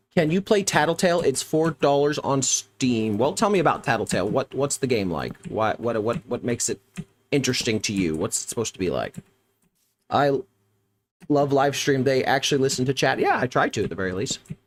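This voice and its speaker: In an American accent, a man speaks at a fairly quick pace and medium pitch, with vocal fry and very wide pitch swings. The sound is dry and close with no echo. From US Midwest. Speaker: gaming streamer. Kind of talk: live stream chat. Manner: casual, upbeat.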